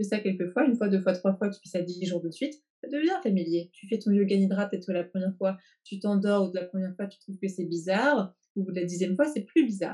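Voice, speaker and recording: A woman speaks at a very fast pace in a medium pitch. Her tone is dark and mellow. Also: ordinary pitch variation. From France, then England. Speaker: therapist and coach. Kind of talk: interview. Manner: hesitant, with frequent repetitions.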